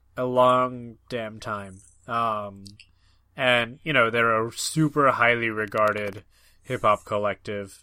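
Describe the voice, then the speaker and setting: This man's voice sits at medium pitch and has a bright, sharp tone. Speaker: podcast host. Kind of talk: casual chat. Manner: hesitant, many fillers.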